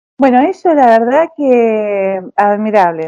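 Her pitch fairly high and her tone dark and mellow, a woman speaks with lively intonation. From Argentina. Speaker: recent immigrant interviewee. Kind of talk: interview. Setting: phone call.

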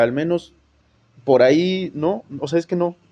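A man speaks with a Mexican accent. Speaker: sports podcast host. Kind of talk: casual chat.

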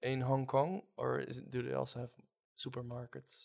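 Speaking at a moderate pace, a man has a medium pitch and a Dutch accent. The recording is very clean, with a silent background. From Netherlands. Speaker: podcast host. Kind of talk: casual interview.

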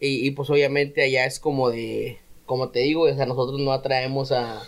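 A man talks at a moderate pace. His intonation stays flat and monotone. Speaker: rapper. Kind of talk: casual chat.

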